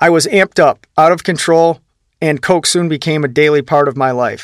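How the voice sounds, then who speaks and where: A fairly high-pitched man at a moderate pace, with fairly even intonation and a dry, close sound with no echo. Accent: Midwestern. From US Midwest, Ohio. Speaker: audiobook author-narrator. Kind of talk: literary audiobook reading, first-person memoir. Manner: steady, earnest, reflective narration.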